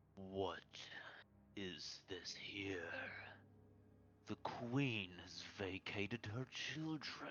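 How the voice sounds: A booming, low-pitched put-on character voice crawls along at a very slow pace with long, frequent pauses.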